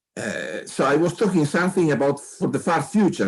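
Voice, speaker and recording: Heard in a very clean recording with a silent background, a man speaks at a moderate pace with an Italian accent. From Italy, Turin. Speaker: astronomer. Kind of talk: interview. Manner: halting, repeats words.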